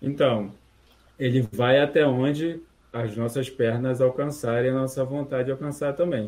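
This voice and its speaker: A man with a plain, everyday voice speaks at a moderate pace and medium pitch, his intonation fairly even. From Rio de Janeiro, Brazil. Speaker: free software community member. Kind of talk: casual chat.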